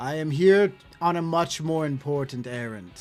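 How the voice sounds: Over music in the background, a man uses a booming, put-on character voice with a fairly high pitch at a moderate pace.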